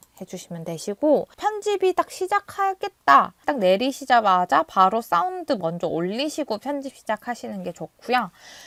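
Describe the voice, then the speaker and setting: A woman at a moderate pace, with very wide pitch swings and a dry, close sound with no echo. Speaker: video editing tutor. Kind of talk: tutorial.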